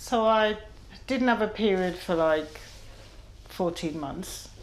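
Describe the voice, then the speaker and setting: Amid audible room echo, a woman speaks at a fairly slow pace with ordinary pitch variation. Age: 50s. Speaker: patient. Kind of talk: medical consultation.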